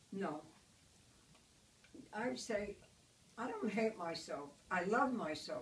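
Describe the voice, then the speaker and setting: With long, frequent pauses and a very slow pace, the lively intonation comes through over noticeable background noise. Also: woman, medium pitch for a woman. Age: 80s+. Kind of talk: interview answer. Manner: positive, upbeat.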